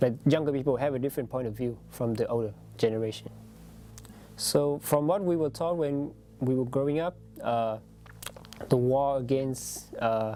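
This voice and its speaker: The speaker has a Vietnamese accent and talks at a moderate pace. Long pauses come often. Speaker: international student. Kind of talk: interview testimony. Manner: halting, many fillers.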